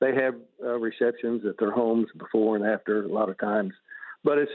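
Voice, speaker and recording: This is a man speaking. He has an Arkansas accent. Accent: Southern US (Arkansas). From US South. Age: 70s. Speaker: retired banker and fundraiser treasurer. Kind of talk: radio interview. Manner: halting, many fillers.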